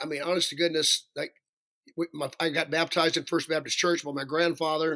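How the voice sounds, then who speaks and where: Bright and sharp in tone, a man with a Southern US accent speaks at a fairly quick pace with fairly even intonation. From US South (Alabama). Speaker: professional singer. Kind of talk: interview.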